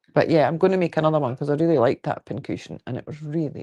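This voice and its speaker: A woman's very deep, low voice in a Scottish accent, dark and mellow in tone, with a dry, close sound and no echo. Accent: Scottish, local. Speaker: quilting livestreamer. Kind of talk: casual livestream chat. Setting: live video stream.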